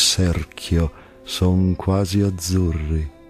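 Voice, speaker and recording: A man talks very slowly. Behind him, music plays in the background. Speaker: stage actor. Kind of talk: poetry reading. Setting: over background music.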